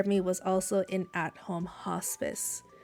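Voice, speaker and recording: Music runs in the background while a woman talks. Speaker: streamer and pharmacist. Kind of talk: reading aloud with live commentary. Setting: live stream. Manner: hesitant, many fillers.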